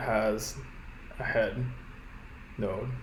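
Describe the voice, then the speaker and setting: A man mumbles his words. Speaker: programmer. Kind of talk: coding tutorial narration. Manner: mumbling.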